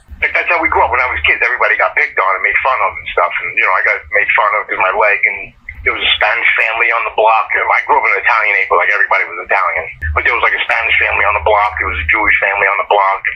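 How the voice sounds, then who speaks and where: At a very fast pace, a man with a New York accent talks over noticeable background noise. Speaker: horror film actor. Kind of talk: interview. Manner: casual.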